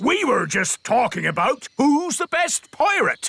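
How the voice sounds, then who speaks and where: A man puts on a cartoonish character voice at an extremely high pitch. He speaks at a fairly slow pace. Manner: hearty, blustering.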